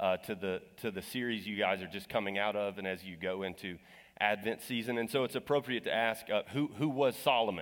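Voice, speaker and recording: In a very clean recording with a silent background, a man with an American accent speaks in a plain, everyday voice at a fairly low pitch, moving at a fairly quick pace with ordinary pitch variation. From Texas. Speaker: guest preacher. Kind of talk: sermon. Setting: church.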